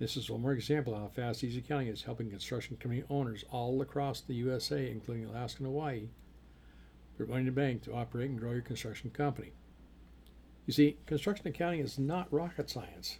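A man with a medium pitch talks at a very fast pace in a somewhat breathy voice. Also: ordinary pitch variation. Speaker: podcast host and construction accountant. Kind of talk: solo business podcast monologue.

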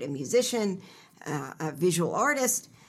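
A woman with an American accent, fairly low in pitch, with very wide pitch swings. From Pennsylvania, Philadelphia suburbs. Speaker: novelist and writing program director. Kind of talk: interview.

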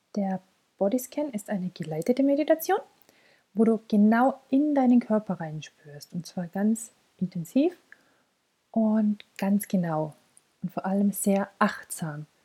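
A woman with a medium pitch and a somewhat breathy, dark, mellow tone speaks in a calm, soothing tone at a fairly slow pace, with very wide pitch swings and long, frequent pauses, in a dry, close sound with no echo. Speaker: podcast host and mental coach. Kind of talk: guided meditation (body scan). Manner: slow, calm, soothing, with long pauses; soft-spoken, gentle, warm.

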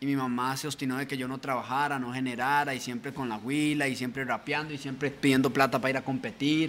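Speaking very fast with hardly any pauses, the man holds a medium pitch in a flat monotone, recorded very cleanly over a silent background. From Costa Rica, Pacayas, Cartago. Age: 20s. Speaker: rapper. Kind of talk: casual chat.

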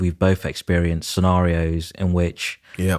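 A man with a British accent speaks in a very deep, low pitch and a monotone, flat intonation. The recording is very clean, its background silent. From UK, Nigerian heritage, moved before age two. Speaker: property developer and architect. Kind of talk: interview.

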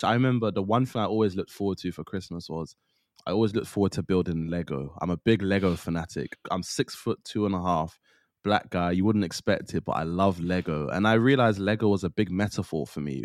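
Over a very clean recording with a silent background, a man with a very deep, low pitch talks at a very fast pace with ordinary pitch variation, the sound dry and close with no echo. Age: 20s. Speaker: podcaster and mental health advocate. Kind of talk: casual interview.

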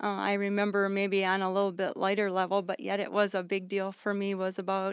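A woman speaks at a fairly quick pace, medium in pitch. Her intonation is monotone and flat, on a very clean recording with a silent background. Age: 50s. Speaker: missionary. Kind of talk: radio interview.

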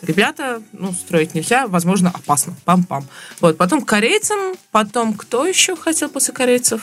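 A woman's fairly high-pitched voice at a moderate pace, with very wide pitch swings over noticeable background noise. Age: young. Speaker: podcast co-host. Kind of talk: casual chat.

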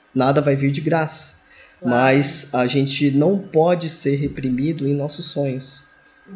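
With fairly even intonation, a man speaks at a moderate pace and a fairly high pitch. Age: 40s. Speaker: engineering supervisor. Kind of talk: interview.

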